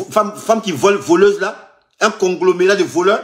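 Lively intonation marks this man's speech. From Ivory Coast. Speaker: vlogger recounting scam calls. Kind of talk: heated phone argument. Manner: repetitive, exasperated. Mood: indignant, mocking. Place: home room. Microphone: phone near.

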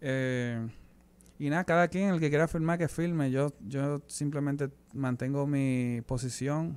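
Fairly even intonation in a Dominican accent. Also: man. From Dominican Republic. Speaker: musician; guest. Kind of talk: interview. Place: studio. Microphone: studio mic.

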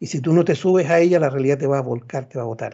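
A man talks at a very fast pace with ordinary pitch variation over a quiet background. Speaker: professor. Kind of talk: lecture. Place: home room. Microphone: video call.

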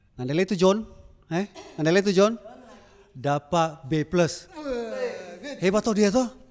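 Animated in tone, this voice moves at a moderate pace with ordinary pitch variation and long, frequent pauses. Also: man, high pitch for a man. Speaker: alumnus doing stand-up comedy; stand-up comedian. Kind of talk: stand-up comedy. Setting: stage with audience. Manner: animated, jokey, chatty, with audience interaction and laughs. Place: stage. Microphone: handheld.

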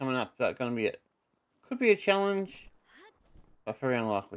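A man's fairly high voice with very wide pitch swings at a very fast pace, over a quiet background. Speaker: gaming YouTuber. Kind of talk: gameplay commentary. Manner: louder than usual. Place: home room.

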